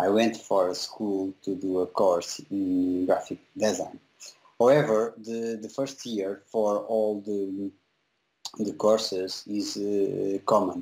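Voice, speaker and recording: A man with a Portuguese accent speaks at a very slow pace. His pitch is fairly low and his intonation fairly even. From Portugal, small town. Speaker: visual effects compositor. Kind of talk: interview. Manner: halting, many fillers.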